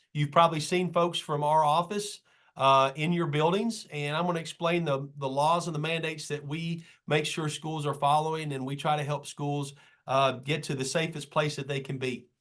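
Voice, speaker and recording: This man's voice sits fairly high in pitch. He keeps his intonation fairly even. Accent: Kentucky. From Kentucky, Madison County. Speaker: state school safety official and trainer. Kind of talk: training presentation. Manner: fast; casual, conversational.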